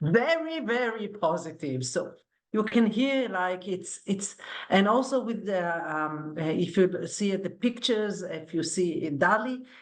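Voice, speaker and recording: A woman's voice sits at a medium pitch. The intonation moves in a lively way. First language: not English. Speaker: academic, panelist. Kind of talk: panel discussion. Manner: animated, conversational.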